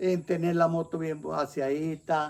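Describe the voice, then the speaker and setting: Very slow and flat in intonation, a man speaks in a dark, mellow tone. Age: 70s. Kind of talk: interview answer. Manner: warm, cheerful.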